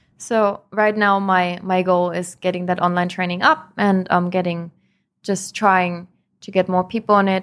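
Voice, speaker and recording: A woman speaks with monotone, flat intonation at a moderate pace. The recording is very clean, with a silent background. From Germany, southern Bavaria. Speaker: personal trainer. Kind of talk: casual chat.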